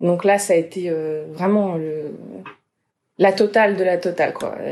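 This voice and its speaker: A woman speaks fairly slowly in a dark, mellow tone, her pitch medium and its variation ordinary. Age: 20s. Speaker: patient sharing fertility treatment experience. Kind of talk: testimony. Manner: cheerful despite topic, smiling voice.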